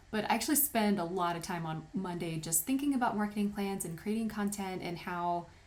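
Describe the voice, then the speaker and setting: Audible room echo around a woman's voice with ordinary pitch variation. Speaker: wedding photographer and tutorial maker. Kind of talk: tutorial.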